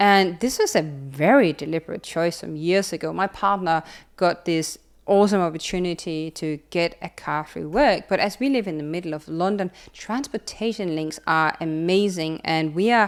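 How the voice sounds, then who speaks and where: A woman with a Danish accent, fairly low in pitch, at a moderate pace with ordinary pitch variation, on a very clean recording with a silent background. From Denmark. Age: 30s. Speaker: sustainability consultant and YouTuber. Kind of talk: casual vlog monologue. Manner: animated.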